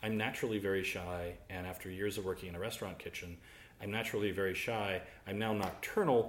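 A man's fairly low voice, very fast, with fairly even intonation and audible room echo. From US South. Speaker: butcher. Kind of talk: interview.

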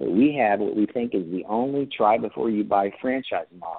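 In a normal speaking voice, a man with a fairly low pitch talks at a fairly quick pace with ordinary pitch variation. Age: 60s. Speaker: franchise founder and CEO. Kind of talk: interview.

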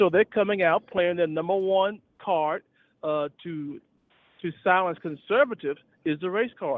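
This man has a high-pitched voice, ordinary pitch variation and a moderate pace. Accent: American. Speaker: retired officer and public speaker. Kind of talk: casual chat. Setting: phone call.

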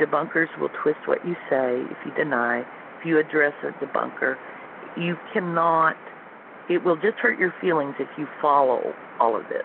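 A woman talks at a moderate pace, and noticeable background noise sits under her words. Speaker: former NASA contractor employee and UFO experiencer. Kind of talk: interview. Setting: phone call. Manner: soft-spoken.

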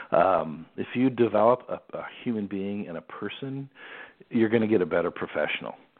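With an unremarkable speaking voice, a man of fairly low pitch talks at a moderate pace, his pitch varying in an ordinary way and his loudness swinging widely. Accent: American. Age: 50s. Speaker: sports executive. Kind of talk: interview.

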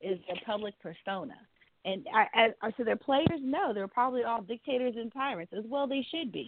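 Lively intonation and a fairly quick pace mark this speaker with an American accent. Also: woman. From US South. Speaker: sports radio co-host and cheerleading coach. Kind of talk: sports talk radio show. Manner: animated.

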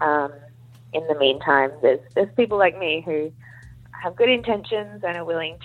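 A woman speaks in an Australian accent at a moderate pace. Her pitch is fairly low, with ordinary pitch variation. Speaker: doctor in training as general practitioner. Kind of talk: casual chat. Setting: remote call.

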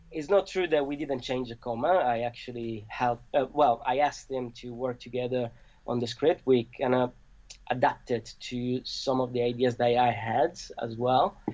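Delivered at a moderate pace with an Italian accent, the speech has fairly even intonation. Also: man, medium pitch for a man. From Italy.

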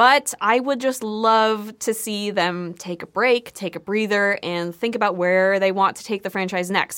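This woman has a plain, everyday voice. Her speed is moderate and her pitch varies in an ordinary way. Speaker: video producer and co-host. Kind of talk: casual chat.

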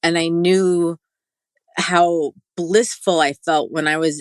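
A woman with a New York accent talks in a fairly low, monotone, flat voice. The sound is dry and close, with no echo. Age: 40s. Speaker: integrative wellness guide. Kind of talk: interview.

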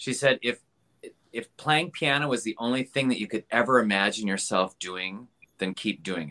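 With a Midwestern American accent, a man of medium pitch speaks at a moderate pace in a bright, sharp tone, with ordinary pitch variation. His loudness swings widely, and the sound is dry and close with no echo. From Wisconsin, US Midwest. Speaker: pianist and Liberace tribute artist. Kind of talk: casual interview chat.

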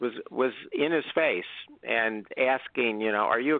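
This man has a normal speaking voice. His pitch variation is ordinary. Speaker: author. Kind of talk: interview.

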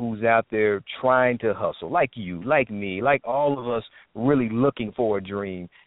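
A man with an American accent and a plain, everyday voice, medium pitch, ordinary pitch variation and a moderate pace. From Indianapolis, Indiana; military family. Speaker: actor, writer and director. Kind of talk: casual chat.

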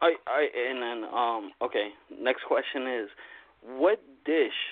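A man speaks with a Long Island accent. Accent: New York (Long Island). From Long Island, New York. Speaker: caller. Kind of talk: casual chat. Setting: phone call.

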